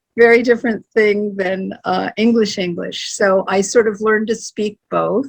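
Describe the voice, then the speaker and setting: Recorded with a dry, close sound and no echo, a woman speaks with an American accent in a monotone, flat intonation. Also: medium pitch for a woman, moderate pace, hardly any pauses. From US Midwest, Ohio. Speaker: poet and painter. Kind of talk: interview. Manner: rambling.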